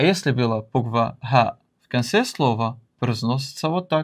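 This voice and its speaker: Speech comes at a very slow pace on a very clean recording with a silent background. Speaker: Arabic language teacher. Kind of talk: educational lesson on letter pronunciation.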